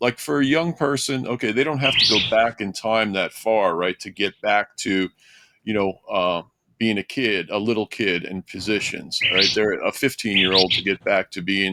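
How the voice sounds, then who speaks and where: A man speaks at a moderate pace with a fairly low pitch and ordinary pitch variation. His tone is bright and sharp, and the sound is dry and close with no echo. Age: 70s. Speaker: podcast host and former strongman performer. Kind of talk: casual interview. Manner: halting.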